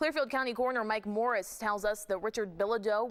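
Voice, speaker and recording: A woman with an unremarkable speaking voice talks at a fairly quick pace and a fairly high pitch. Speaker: news anchor. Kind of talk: TV news anchor read.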